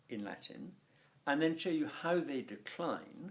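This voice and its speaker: A man speaks at a fairly slow pace with an RP accent. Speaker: Latin teacher. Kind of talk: tutorial. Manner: animated.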